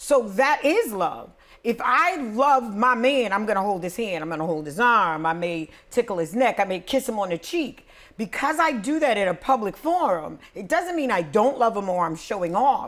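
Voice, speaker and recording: A woman speaks loudly in an animated tone at a moderate pace, with a fairly high pitch and very wide pitch swings. The recording is very clean, with a silent background. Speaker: podcast host. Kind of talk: casual chat.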